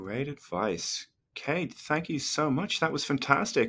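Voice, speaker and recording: Bright and sharp, a man's voice shows vocal fry and lively intonation on a very clean recording with a silent background. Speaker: podcast co-host and lecturer.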